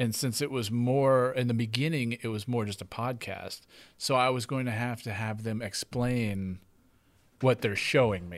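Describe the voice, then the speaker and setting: At a medium pitch with ordinary pitch variation, a man speaks in a plain, everyday voice at a moderate pace on a very clean recording with a silent background. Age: 40s. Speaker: podcast host. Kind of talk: casual interview.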